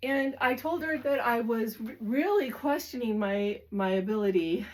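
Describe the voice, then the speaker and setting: The pitch swings very widely. The speaker is a woman. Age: 60s. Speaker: lifestyle vlogger. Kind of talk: casual talk to camera. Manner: halting, with fillers.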